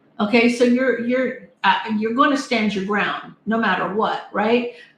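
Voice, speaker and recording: Audible room echo surrounds a woman's voice. She has a fairly high pitch and speaks at a fairly slow pace. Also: ordinary pitch variation. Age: 60s. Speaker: tarot reader. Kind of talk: live-stream tarot reading. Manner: casual, chatty.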